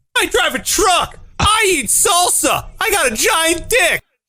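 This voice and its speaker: A put-on character voice speaks at a fairly slow pace over music in the background. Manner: boastful, deadpan.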